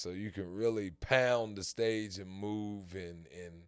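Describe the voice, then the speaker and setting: On a very clean recording with a silent background, a man speaks very slowly in a fairly low pitch. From North Carolina. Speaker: rapper and street performer. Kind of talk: casual chat.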